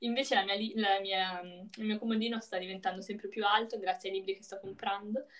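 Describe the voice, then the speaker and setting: A woman's normal speaking voice at medium pitch with fairly even intonation. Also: fairly quick pace. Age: young. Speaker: podcast co-host. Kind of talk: casual chat. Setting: call.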